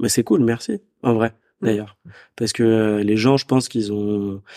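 In a very clean recording with a silent background, a man talks at a moderate pace with a medium pitch, his dark, mellow tone coming through dry and close with no echo. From Paris suburbs, France. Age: 30s. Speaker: entrepreneur, event organizer. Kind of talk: casual interview.

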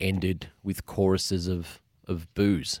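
An Australian-accented man talks at a very slow pace in a fairly low voice. The recording is very clean with a silent background and a dry, close sound without echo. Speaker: author and sports media executive. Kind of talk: interview discussion.

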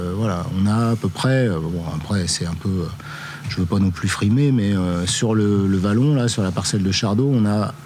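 A fairly low-pitched man at a moderate pace, with ordinary pitch variation and noticeable background noise. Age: 50s. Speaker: winemaker. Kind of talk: interview. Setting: on location. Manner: halting.

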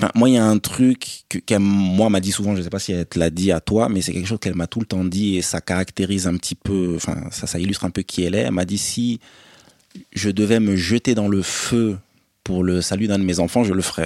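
A man's fairly low, dark, mellow voice at a fairly quick pace with fairly even intonation, dry and close with no echo. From France, Paris area, partly raised in Côte d'Ivoire. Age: 30s. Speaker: podcast guest, elder brother. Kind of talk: casual chat.

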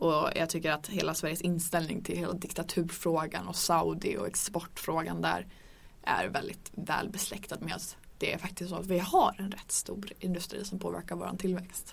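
A woman with a plain, everyday voice and fairly low pitch. She talks at a moderate pace with fairly even intonation. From northern Sweden (Örnsköldsvik). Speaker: podcast host. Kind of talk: casual chat. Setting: studio.

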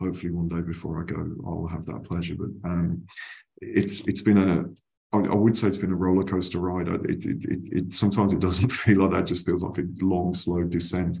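A man talks at a fairly quick pace in a very deep, low pitch, his voice somewhat breathy. His tone is dark and mellow, and his intonation stays fairly even. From West Midlands, England (West Bromwich). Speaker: travel retail trade association executive. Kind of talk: interview. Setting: video call. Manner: halting, many repetitions.

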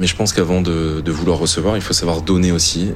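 A man with a very deep, low voice talks in a fairly even intonation, with audible room echo and noticeable background noise. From northern France, Flanders. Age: 30s. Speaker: chef and restaurant owner. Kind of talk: testimony.

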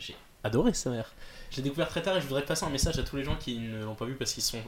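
A man speaks in a somewhat breathy voice. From northern France (Nord). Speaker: film student. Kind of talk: casual chat.

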